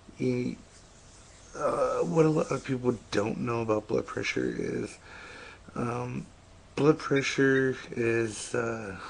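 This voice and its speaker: A quiet man at a very slow pace, with long, frequent pauses and noticeable background noise. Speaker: vlogger. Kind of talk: personal vlog about health. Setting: home at 3am. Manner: speaking quietly; halting, many fillers.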